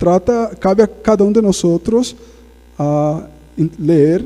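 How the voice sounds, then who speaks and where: A man speaks with a Portuguese accent at a high pitch. His intonation is lively. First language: Portuguese (speaking Spanish). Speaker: guest preacher. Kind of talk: sermon. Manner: conversational, frequent tag questions.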